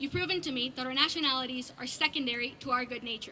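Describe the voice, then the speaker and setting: A woman with a high pitch speaks in a raised, projected voice at a very fast pace. Her pitch variation is ordinary, and background noise is noticeable. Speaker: graduating student speaker. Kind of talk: graduation speech.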